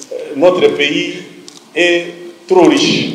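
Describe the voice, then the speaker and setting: Noticeable background noise and audible room echo surround a man speaking in a high pitch. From DR Congo, Kasaï. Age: 60s. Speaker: journalist and author. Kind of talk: talk to students.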